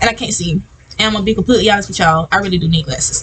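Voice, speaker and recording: Very rapid speech from a woman, with noticeable noise in the background. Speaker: podcast host. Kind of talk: reading slides aloud in a self-help podcast. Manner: fast reading, stumbling; tongue-tied, restarting lines.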